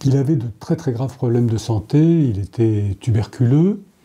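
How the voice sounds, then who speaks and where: Very slowly, a man speaks in a dark, mellow, somewhat breathy tone with very wide pitch swings. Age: 70s. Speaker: novelist. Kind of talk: interview. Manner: hesitant, many fillers.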